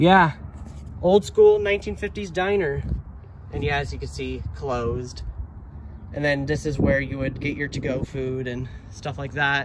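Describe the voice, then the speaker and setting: Amid noticeable background noise, a man speaks at a moderate pace with long, frequent pauses, the sound dry with no echo. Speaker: urban explorer vlogger. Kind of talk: casual vlog chat. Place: street. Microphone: phone near.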